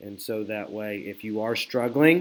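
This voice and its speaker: In a plain, everyday voice, a man speaks at medium pitch with a moderate pace and ordinary pitch variation. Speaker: math teacher. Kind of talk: recorded video lesson. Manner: casual, conversational.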